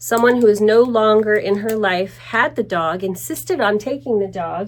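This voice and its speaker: A plain, everyday voice keeps to a moderate pace. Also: woman. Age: 60s. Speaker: vlogger and dog owner. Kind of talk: casual vlog talk. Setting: at home.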